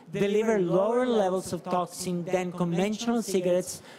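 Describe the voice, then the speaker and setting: Noticeable background noise runs under a man speaking with an Italian accent. His voice is high and his pace moderate. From Italy. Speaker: medical professor. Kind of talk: conference talk. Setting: conference stage with audience. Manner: halting.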